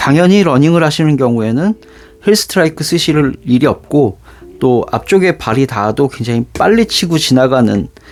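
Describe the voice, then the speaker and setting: An unremarkable speaking voice at a moderate pace, with lively intonation and very even loudness. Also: man, fairly high pitch for a man. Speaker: shoe reviewer YouTuber. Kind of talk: product unboxing review.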